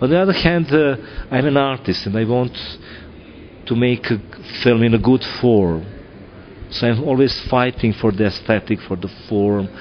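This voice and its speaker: Against noticeable background noise, a man with a Serbian accent speaks at medium pitch and a moderate pace, with long, frequent pauses. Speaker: film director. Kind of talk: interview. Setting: film festival. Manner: halting, many fillers.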